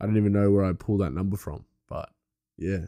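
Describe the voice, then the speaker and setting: Here is a man's voice at fairly low pitch. His tone is dark and mellow. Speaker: podcast host. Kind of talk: casual solo chat. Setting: home studio. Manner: casual, chatty.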